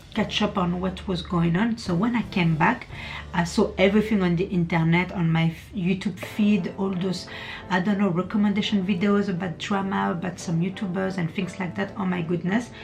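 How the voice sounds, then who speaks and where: Music plays in the background as a woman speaks at a moderate pace, her medium-pitched voice keeping a fairly even intonation. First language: not English. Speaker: beauty vlogger. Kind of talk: casual chat. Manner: chatty.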